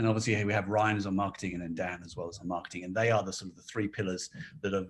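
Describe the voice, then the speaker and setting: A man with a British accent talks at a very fast pace with a fairly low pitch. His intonation is monotone and flat, while his loudness swings widely. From Britain. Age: 40s. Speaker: toy company design director. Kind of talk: interview. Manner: talkative.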